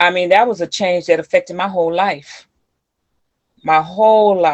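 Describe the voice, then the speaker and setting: A woman speaks at a moderate pace in a plain, everyday voice, fairly low in pitch with fairly even intonation. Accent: American. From US Midwest, East St. Louis area then Milwaukee. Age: 60s. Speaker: community leader and youth mentor. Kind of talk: interview.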